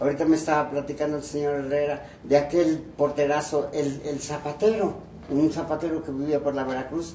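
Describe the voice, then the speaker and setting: A man with a fairly high pitch speaks at a moderate pace. There is audible room echo and noticeable background noise. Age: 80s+. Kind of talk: interview, reminiscing. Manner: halting, repetitive.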